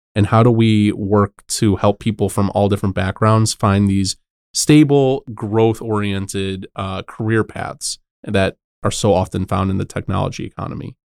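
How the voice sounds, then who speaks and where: A man talks in a normal speaking voice at a moderate pace with fairly even intonation. The recording is very clean and silent behind him, dry and close with no echo. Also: fairly low pitch for a man. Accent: American. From Chicago. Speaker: economic development partnerships head, former teacher. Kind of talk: podcast interview.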